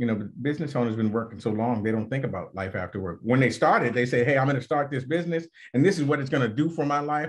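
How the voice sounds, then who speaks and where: Against a quiet background, a man with an ordinary speaking voice talks at a medium pitch with lively intonation. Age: 50s. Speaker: financial advisor. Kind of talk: interview podcast.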